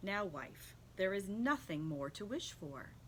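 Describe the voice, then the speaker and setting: A put-on character voice at a middle pitch and a fairly slow pace, over clear background noise. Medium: read story. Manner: timid, reluctant.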